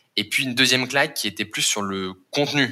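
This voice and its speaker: A man talks in a normal speaking voice, keeping to a moderate pace. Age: 20s. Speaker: climate impact manager at a startup. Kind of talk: interview.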